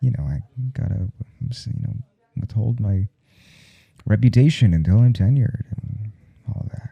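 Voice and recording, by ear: Putting on a character voice, a man speaks at a fairly slow pace with a fairly low pitch, ordinary pitch variation, vocal fry and a slightly husky edge.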